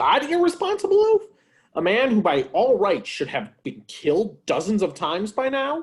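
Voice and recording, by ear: A man does a cartoonish character voice, high in pitch with a slightly husky edge. He moves at a moderate pace through big pitch swings.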